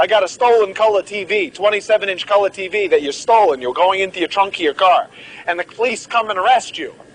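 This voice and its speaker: Against noticeable background noise, a man with a high pitch talks at a very fast pace. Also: ordinary pitch variation. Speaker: medical lecturer. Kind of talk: lecture. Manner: animated.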